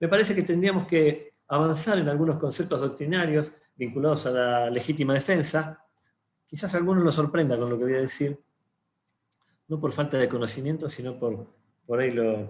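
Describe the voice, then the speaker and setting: His pitch is fairly high for a man. The voice is somewhat breathy. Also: ordinary pitch variation. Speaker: lawyer. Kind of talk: panel talk. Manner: fast.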